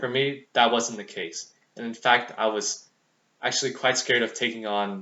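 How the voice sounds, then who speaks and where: Using a plain, everyday voice, a man talks at medium pitch and a moderate pace with fairly even intonation. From US, Vietnamese American family. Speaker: student. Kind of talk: speech. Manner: formal.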